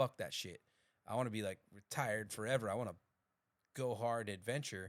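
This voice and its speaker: A man talks in an animated tone at a fairly quick pace. His pitch is fairly low. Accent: American. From Colorado, US. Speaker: podcast co-host. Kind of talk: casual chat.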